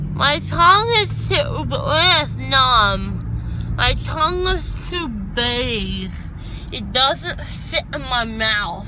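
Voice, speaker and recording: Delivered at a very slow pace, the speech sounds dry with no echo over noticeable background noise. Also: woman. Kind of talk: casual vlog chat. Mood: groggy, drowsy, giggly. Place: car. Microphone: phone near.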